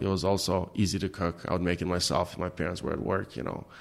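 The man's voice sits very deep and low, captured on a very clean recording with a silent background. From Albania. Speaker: restaurant owner. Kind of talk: casual interview. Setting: restaurant basement dining room.

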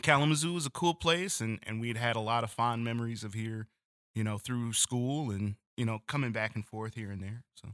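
At a fairly quick pace, a man with a medium pitch and ordinary pitch variation speaks in a very clean recording with a silent background and a dry, close sound with no echo. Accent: American. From Detroit, Michigan. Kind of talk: casual interview chat.

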